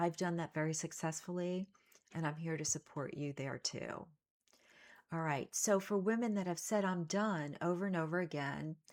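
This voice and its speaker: Here a woman has an ordinary speaking voice, fairly low in pitch. She moves at a moderate pace with ordinary pitch variation. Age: 60s. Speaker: self-help coach. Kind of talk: motivational talk to camera.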